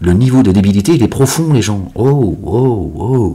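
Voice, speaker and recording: Lively intonation from a man at a moderate pace. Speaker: religious commentator. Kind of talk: casual religious monologue video. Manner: loud; animated.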